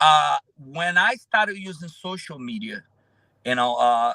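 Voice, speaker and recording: A man with a Brazilian accent, bright and sharp in tone, with very wide pitch swings and a dry, close sound with no echo. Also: very clean recording, silent background. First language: Portuguese. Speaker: roofer and social media influencer. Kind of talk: interview conversation. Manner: halting, many fillers.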